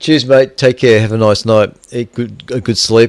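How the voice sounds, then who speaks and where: Heard in a very clean recording with a silent background, a man with an Australian accent speaks with fairly even intonation. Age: 60s. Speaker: amateur radio operator and stream host. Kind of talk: casual radio chat. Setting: radio repeater net, streamed.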